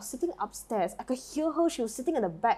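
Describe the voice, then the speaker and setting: In a Malaysian accent, a woman talks very fast in a high pitch with an animated tone. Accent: Malaysian English, still there. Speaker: podcast co-host. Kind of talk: casual chat.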